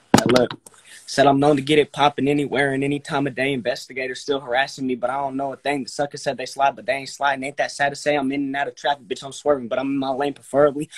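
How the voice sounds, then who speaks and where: With an American accent, a man speaks at a very fast pace in a monotone, flat intonation against a quiet background. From US West Coast. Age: 20s. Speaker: aspiring rapper; guest. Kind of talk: casual chat. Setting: video call. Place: home room. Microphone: phone near.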